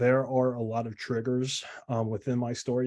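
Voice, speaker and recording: With an American accent, a man speaks at a medium pitch in a dark, mellow tone, his intonation monotone and flat. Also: quiet background. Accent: slight Southern US, mostly disguised. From US South, South Carolina. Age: 20s. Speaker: online health coach. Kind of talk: motivational talk, personal story. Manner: casual, many fillers.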